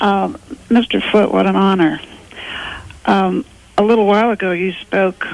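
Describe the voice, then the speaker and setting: The speech comes at a fairly slow pace. Noticeable background noise sits behind it. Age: 70s. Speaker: caller. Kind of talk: call-in question. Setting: phone call.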